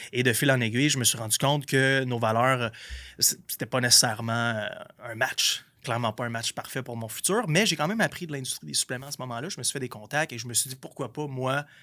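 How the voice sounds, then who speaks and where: A man speaks in an unremarkable speaking voice at a medium pitch with ordinary pitch variation. His pace is fairly quick. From Quebec, Gaspésie. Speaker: entrepreneur. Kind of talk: podcast interview. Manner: casual, slangy.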